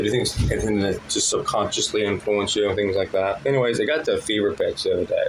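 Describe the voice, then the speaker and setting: A man speaks at a very fast pace with very even loudness and hardly any pauses. Noticeable background noise runs underneath. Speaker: stand-up comedian. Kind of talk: stand-up.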